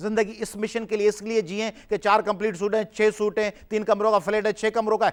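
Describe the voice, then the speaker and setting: High pitch from a man, fairly even intonation, and a moderate pace. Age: 40s. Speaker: political activist. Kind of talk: heated debate.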